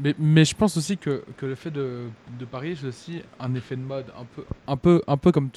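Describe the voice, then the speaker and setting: The tone is dark and mellow, with a dry, close sound and no echo. Delivery is at a moderate pace, with ordinary pitch variation and big swings in loudness. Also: man, fairly high pitch for a man. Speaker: young sports bettor. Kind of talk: casual chat.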